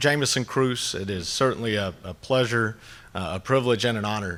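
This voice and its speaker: A man with an American accent talks fairly quickly, captured on a very clean recording with a silent background. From US South, North Georgia mountains. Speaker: agricultural lobbyist. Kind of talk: conference speech. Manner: filler-heavy, many uhs.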